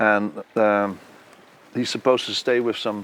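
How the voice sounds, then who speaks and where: A man with a Dutch accent. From Netherlands. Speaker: composer and conductor. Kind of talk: interview. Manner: halting.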